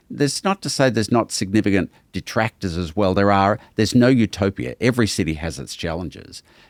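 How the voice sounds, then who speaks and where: A man's fairly low, fry-edged voice with an Australian accent at a fairly quick pace, dry and close with no echo in a very clean recording against a silent background. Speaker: museum president. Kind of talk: podcast interview.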